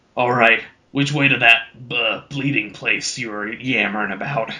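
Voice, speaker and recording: Putting on a character voice, a man sounds gruff, raspy and booming at medium pitch, keeping a moderate pace and fairly even intonation. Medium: read story. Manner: rude, brusque, casual.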